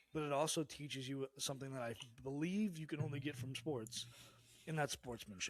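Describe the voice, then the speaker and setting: A man speaks in a plain, everyday voice. It sits at a fairly high pitch and moves at a fairly quick pace. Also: ordinary pitch variation. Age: 30s. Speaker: podcast co-host, expecting father. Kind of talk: casual chat.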